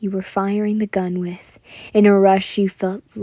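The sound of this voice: An unforced voice reads the text.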